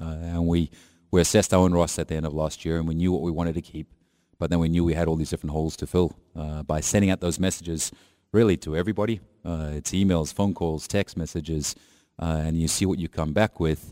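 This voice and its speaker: A man's very deep, low voice with a dark, mellow tone, monotone, flat intonation and a very fast pace, on a very clean recording with a silent background. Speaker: soccer head coach. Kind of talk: radio interview. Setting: studio.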